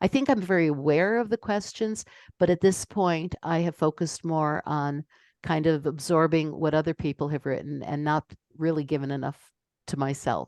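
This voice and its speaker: A woman speaks at a moderate pace with a very deep, low pitch and ordinary pitch variation, in a dry, close sound with no echo against a quiet background. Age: 70s. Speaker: ethical will facilitator. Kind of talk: online group discussion.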